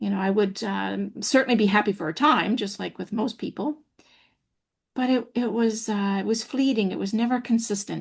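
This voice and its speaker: A woman at a moderate pace, somewhat breathy and fairly high in pitch, with ordinary pitch variation against a quiet background. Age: 60s. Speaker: happiness trainer and public speaker. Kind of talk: interview testimony. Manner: hesitant, many fillers.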